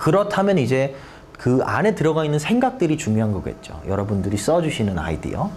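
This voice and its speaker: A man's fairly high voice with very wide pitch swings, a fairly quick pace, audible room echo and music in the background. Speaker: teacher. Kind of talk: lecture. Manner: halting, many fillers.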